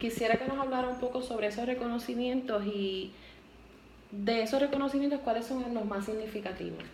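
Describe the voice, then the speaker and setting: Noticeable background noise sits behind a speaker talking at a fairly quick pace. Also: woman, fairly high pitch for a woman. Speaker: university student interviewer. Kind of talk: interview questions.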